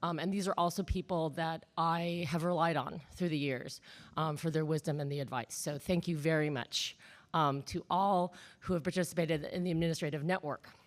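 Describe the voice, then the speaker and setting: A woman talks at a fairly quick pace with a fairly low pitch and fairly even intonation. The recording is very clean, with a silent background. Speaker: humanities center director and panel moderator. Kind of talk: panel moderation at a conference. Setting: conference room with live audience. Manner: hesitant, many fillers (um).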